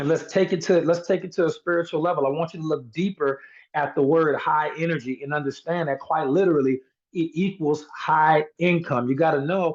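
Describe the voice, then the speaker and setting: A fairly high-pitched man at a fairly quick pace against a quiet background. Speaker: sales team trainer. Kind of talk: motivational training call. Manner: energetic.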